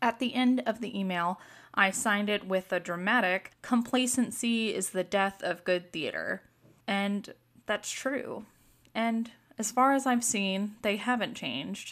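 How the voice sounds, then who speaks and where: Speaking at a fairly slow pace, a woman has a fairly high pitch and ordinary pitch variation. The recording is very clean, with a silent background. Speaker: theatre artist and aspiring director. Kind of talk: solo podcast monologue.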